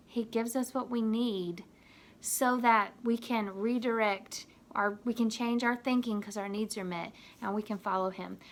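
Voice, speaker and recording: An ordinary speaking voice, with fairly even intonation, proceeds at a moderate pace. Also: woman, fairly high pitch for a woman. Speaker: youth minister. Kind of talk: video devotional talk to youth.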